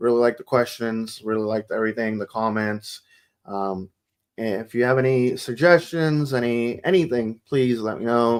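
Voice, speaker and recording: A man mumbles his words. His pace is moderate. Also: medium pitch for a man, ordinary pitch variation. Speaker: soccer podcast host. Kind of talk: casual chat. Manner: mumbling.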